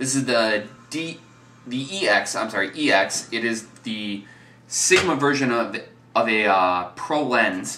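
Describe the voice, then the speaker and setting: In an American accent, a man talks fairly slowly at a medium pitch with lively intonation, and the room echo is audible. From US Midwest. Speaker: photography vlogger. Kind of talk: gear review tutorial. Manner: casual with fillers and repetitions.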